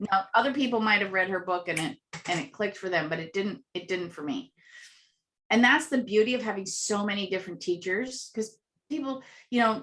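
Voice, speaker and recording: A woman with an animated tone talks at a fairly quick pace, her fairly high pitch showing ordinary variation. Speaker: contest winner and author. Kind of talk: interview. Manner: loud.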